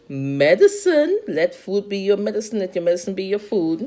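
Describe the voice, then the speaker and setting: Her pitch swings very widely. The woman's voice sits at a medium pitch. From Trinidad. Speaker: health vlogger. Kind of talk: casual tutorial. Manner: animated.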